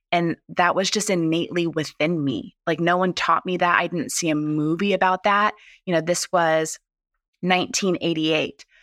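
A woman with an American accent has an ordinary speaking voice, fairly low in pitch with ordinary pitch variation, at a fairly slow pace. The recording is very clean with a silent background and a dry, close sound with no echo. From Southern California. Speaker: chef. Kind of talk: interview.

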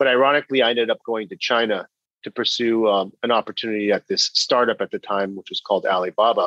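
A man with an American accent at a very fast pace, in a dry, close sound with no echo. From California, Bay Area. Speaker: business executive and author. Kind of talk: interview.

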